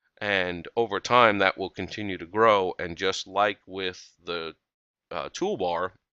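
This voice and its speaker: A man's very deep, low voice, bright and sharp in tone, with monotone, flat intonation. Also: dry, close sound with no echo, quiet background. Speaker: software tutorial presenter. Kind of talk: tutorial.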